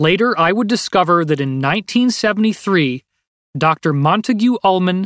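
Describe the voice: The intonation is lively. It is plain reading aloud over a quiet background.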